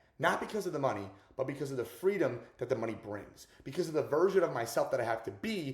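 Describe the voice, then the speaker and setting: With lively intonation, a man talks at a fairly quick pace in a fairly high voice. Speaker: self-improvement and sales coach vlogger. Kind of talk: motivational vlog monologue. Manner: fast; casual slangy.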